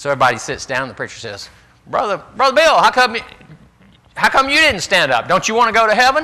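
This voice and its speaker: A man's high-pitched, raised, projected voice at a very fast pace, with very wide pitch swings and noticeable background noise. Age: old. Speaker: Bible class teacher. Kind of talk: Bible class lecture.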